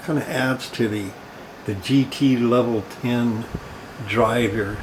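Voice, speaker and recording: Noticeable background noise runs under the voice. Its pitch varies in an ordinary way. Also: man. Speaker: PC hobbyist, computer restorer. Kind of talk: casual talk to camera.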